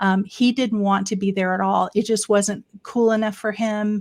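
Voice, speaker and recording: A woman with an American accent speaks at a medium pitch in a monotone, flat delivery. The very clean recording has a silent background and a dry, close sound with no echo. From Florida, US South. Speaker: elder care consultant. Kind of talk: casual interview.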